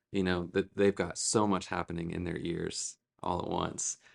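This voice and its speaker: A man speaks in a flat monotone at a moderate pace, his pitch very deep and low, against a quiet background. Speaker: church worship director. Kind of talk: interview conversation.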